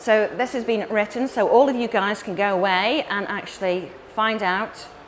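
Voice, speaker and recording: A woman talks at a moderate pace, her pitch varying in an ordinary way, with noticeable background noise behind her. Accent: English. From England. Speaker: marketing company director and conference speaker. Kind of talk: conference talk. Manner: animated.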